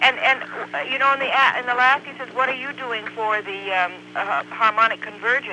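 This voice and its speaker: Over noticeable background noise, a man with an extremely high pitch talks at a fairly quick pace with ordinary pitch variation. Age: 60s. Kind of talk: casual chat. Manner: halting.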